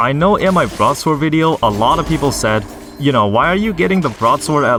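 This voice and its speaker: With music behind him, a man's pitch leaps up and down very widely. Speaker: gaming YouTuber. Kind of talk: gameplay commentary. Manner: halting, repeats words.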